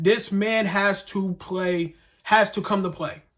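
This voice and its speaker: This man's voice is high, with ordinary pitch variation. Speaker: sports vlogger / fan commentator. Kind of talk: casual commentary vlog. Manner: fast; animated.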